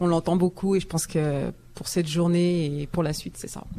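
A woman with a fairly low voice talks at a fairly quick pace over noticeable background noise. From France. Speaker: communications and marketing specialist. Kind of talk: live panel discussion. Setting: live broadcast from a community centre with audience.

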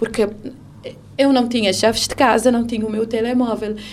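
Her pitch is high for a woman, and she speaks at a moderate pace. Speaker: radio presenter sharing her story of abuse. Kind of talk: testimony, personal account of domestic abuse. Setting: radio studio. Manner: halting, reflective, pausing and restarting sentences.

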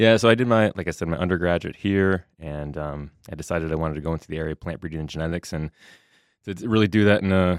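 Speaking very fast, a man with a Minnesota accent uses a very deep, low pitch and fairly even intonation. The recording is very clean with a silent background and a dry, close sound with no echo. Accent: Upper Midwest (Minnesota) American. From southwest Minnesota. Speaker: soybean breeding professor. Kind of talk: interview.

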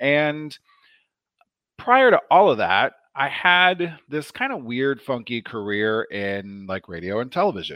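Over a quiet background, a man with an American accent speaks in a bright, sharp tone with very wide pitch swings. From US Midwest, Omaha, Nebraska. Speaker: nurse practitioner. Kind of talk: interview. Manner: animated.

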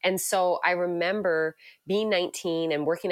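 A woman with a slight Newfoundland accent and fairly even intonation, at a moderate pace, in a very clean recording with a silent background. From Canada, Newfoundland. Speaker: pastor. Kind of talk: interview.

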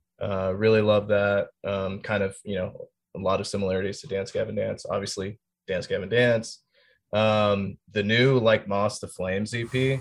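A man with an American accent talks at a moderate pace in a fairly low pitch with monotone, flat intonation against a quiet background. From North Carolina (Fort Bragg, Fayetteville area). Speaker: metal band drummer. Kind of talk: casual interview chat.

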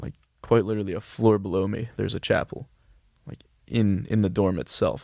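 A man's fairly low voice at a fairly quick pace, on a very clean recording with a silent background. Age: 20s. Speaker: college student. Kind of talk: casual interview chat. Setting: studio.

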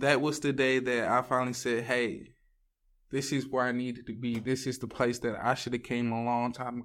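In a very clean recording with a silent background, a man speaks in a monotone, flat intonation at a medium pitch and moderate pace. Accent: Southern Louisiana. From US South, Louisiana (Ville Platte). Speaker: addiction recovery program student. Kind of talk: testimony.

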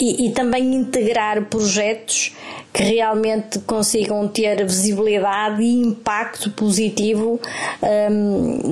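A woman with a fairly high pitch speaks at a very slow pace in a monotone, flat intonation, with noticeable background noise behind her. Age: 50s. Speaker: therapist. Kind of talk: recorded testimony. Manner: halting.

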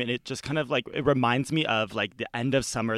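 An unremarkable speaking voice from a man, medium in pitch with ordinary pitch variation and a fairly quick pace, in a dry, close sound with no echo on a very clean recording with a silent background. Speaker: guest, friend of the host. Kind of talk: casual chat.

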